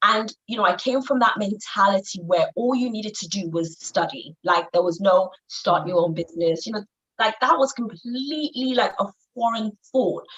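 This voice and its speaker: Pitched fairly high, a woman speaks with a Yoruba accent. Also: lively intonation, moderate pace. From Nigeria. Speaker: business coach for women. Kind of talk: interview. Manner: hesitant, many fillers.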